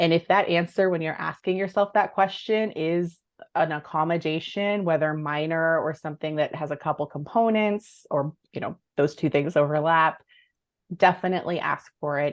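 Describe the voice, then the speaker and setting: Someone with a plain, everyday voice speaks at a moderate pace with fairly even intonation. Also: woman, fairly low pitch for a woman. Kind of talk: online workshop presentation.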